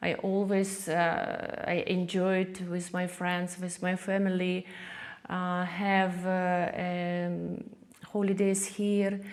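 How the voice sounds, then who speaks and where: With a Ukrainian accent, a woman speaks very slowly in monotone, flat intonation at medium pitch, with audible room echo. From Ukraine, Kyiv; born in Soviet Far East. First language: Ukrainian or Russian. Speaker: artist. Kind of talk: interview. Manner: halting, many fillers.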